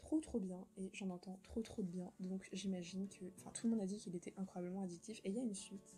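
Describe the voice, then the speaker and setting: A woman's medium pitch at a very fast pace, with music in the background. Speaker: book youtuber. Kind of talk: casual vlog. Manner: hesitant, many fillers. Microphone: poor sound quality.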